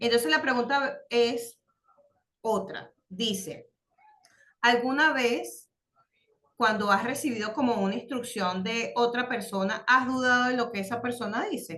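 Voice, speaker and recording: Her fairly high pitch and bright, sharp tone carry ordinary pitch variation as this woman speaks with long, frequent pauses. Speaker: religious course teacher. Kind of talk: online class lesson. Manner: halting, many fillers.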